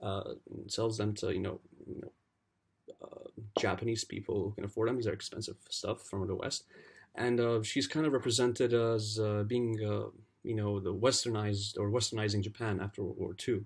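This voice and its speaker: A man speaks at a fairly low pitch with fairly even intonation. His voice is somewhat breathy. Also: moderate pace. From Lebanon. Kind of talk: unscripted book review to camera. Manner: hesitant, many fillers.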